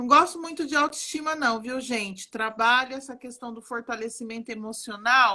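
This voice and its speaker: A woman speaks at a moderate pace in a high voice, with ordinary pitch variation and big swings in loudness. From Brazil, Alagoas (Northeast) mixed with interior São Paulo. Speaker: psychologist and art therapist. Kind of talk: live stream conversation. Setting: online live stream. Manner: warm, animated.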